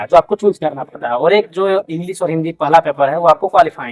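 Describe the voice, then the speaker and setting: A man with a Jharkhand accent. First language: Kurmali (speaking Hindi). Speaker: newly appointed police officer, exam topper. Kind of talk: interview. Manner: hesitant with fillers.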